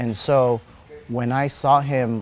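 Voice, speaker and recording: A man with a medium pitch talks while music is in the background. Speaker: martial arts coach and former Muay Thai champion. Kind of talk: interview answer.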